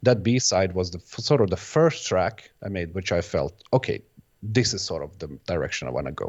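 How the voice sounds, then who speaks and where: With lively intonation and vocal fry, this man talks at a fairly quick pace in a very deep, low pitch, his loudness swinging widely. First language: Bosnian. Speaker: electronic music producer and DJ. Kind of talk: interview. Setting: video podcast. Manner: halting, many false starts and repeats.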